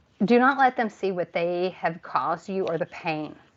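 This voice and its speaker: With an American accent, a woman of medium pitch speaks fairly slowly using lively intonation. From Texas. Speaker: tarot reader. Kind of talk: live tarot reading. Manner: hesitant, filler-heavy.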